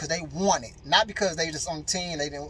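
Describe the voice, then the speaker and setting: A man's high-pitched, animated voice with lively intonation, over noticeable background noise. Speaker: motivational speaker. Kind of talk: motivational talk.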